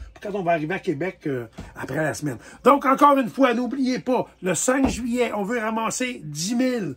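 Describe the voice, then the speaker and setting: Lively intonation marks a man's high voice. He keeps a moderate pace. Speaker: tattoo artist and charity walk organizer. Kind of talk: casual fundraising announcement video.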